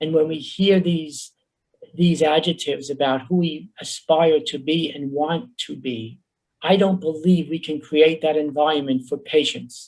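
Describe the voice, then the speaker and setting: A man with a New York accent speaks in a fairly high voice. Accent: New York Bronx. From New York, the Bronx. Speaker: professor, workshop presenter. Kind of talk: conference workshop presentation. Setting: virtual conference, video call.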